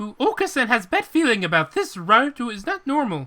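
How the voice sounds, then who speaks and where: The speaker uses a put-on character voice at a fairly high pitch. It moves at a fairly quick pace with very wide pitch swings. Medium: game stream. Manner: broken, third-person speech.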